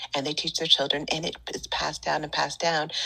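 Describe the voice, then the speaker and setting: A woman with an American accent speaks with a very deep, low pitch and a bright, sharp tone. Her intonation stays fairly even. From Northern California, Bay Area. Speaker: Reiki teacher and wellness podcaster. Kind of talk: casual interview chat.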